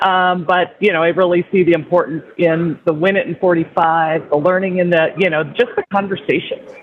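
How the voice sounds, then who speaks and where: The speaker, in an Upper Midwest accent, moves at a fairly quick pace with hardly any pauses and fairly even intonation. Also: woman, fairly low pitch for a woman. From North Dakota. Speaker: business executive. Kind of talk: panel discussion. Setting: airport lounge.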